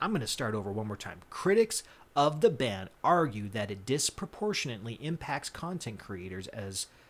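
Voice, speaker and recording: A man's medium-pitched voice with an American accent at a moderate pace, with very wide pitch swings and big swings in loudness. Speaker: podcast co-host. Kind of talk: reading aloud; casual chat. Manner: halting; animated.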